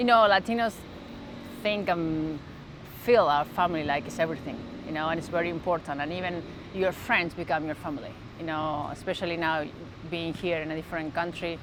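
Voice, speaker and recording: A woman with a fairly low pitch and a strong Argentine accent talks at a fairly quick pace with ordinary pitch variation, broken by long, frequent pauses. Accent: thick Argentine Spanish. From Argentina, Santa Fe. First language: Spanish. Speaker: sports mental performance coach. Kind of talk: interview. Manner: halting.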